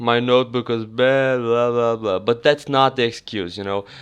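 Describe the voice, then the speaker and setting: The speaker is a man. His pitch is medium. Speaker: gaming YouTuber. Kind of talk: casual vlog talk to viewers. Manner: halting, self-correcting.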